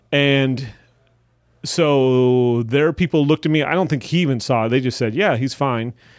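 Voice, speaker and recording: A man with an American accent and a normal speaking voice, medium in pitch, with ordinary pitch variation, very even loudness and a moderate pace. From Wisconsin. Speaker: stand-up comedian and teacher. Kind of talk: casual chat.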